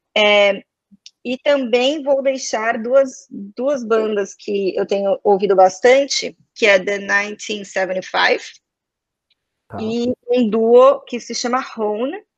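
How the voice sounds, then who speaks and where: A woman talks at a very slow pace in a São Paulo accent, her pitch fairly high with ordinary variation. The sound is dry and close, with no echo. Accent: São Paulo Brazilian Portuguese. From Brazil, São Paulo. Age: 20s. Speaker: advertising professional. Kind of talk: casual interview chat.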